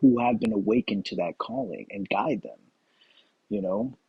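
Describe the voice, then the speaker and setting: A man mumbles at a fairly quick pace. His pitch is medium. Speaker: spiritual vlogger. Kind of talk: casual monologue vlog. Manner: mumbling.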